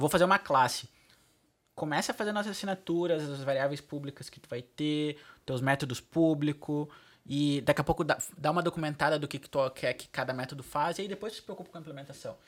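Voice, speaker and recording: In an ordinary speaking voice, a man talks at a fairly quick pace with a fairly high pitch, ordinary pitch variation and big swings in loudness. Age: 20s. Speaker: front-end architect. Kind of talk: casual tech interview.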